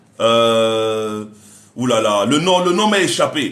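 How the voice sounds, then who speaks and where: Animated male voice with audible room echo. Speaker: relationship coach. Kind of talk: live stream talk.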